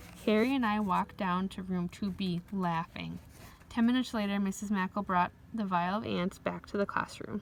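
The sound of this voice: What comes through is an unforced reading voice.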